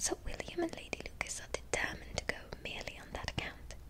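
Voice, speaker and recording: The speech is whispered at a moderate pace. Noticeable background noise is present. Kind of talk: read-aloud dialogue with voiced characters. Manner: soft-spoken, whispery, relaxing.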